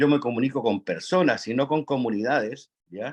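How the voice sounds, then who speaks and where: A man with a Chilean accent, fairly high in pitch, with ordinary pitch variation at a moderate pace. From Chile, Atacama region. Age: 60s. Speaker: national park concessionaire, audience participant. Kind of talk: audience comment in online forum. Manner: halting, many fillers.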